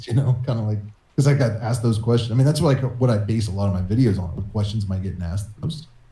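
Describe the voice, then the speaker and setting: Dark and mellow in tone, a man's voice sits at medium pitch and sounds somewhat breathy. He speaks at a very fast pace with ordinary pitch variation. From West Virginia, USA.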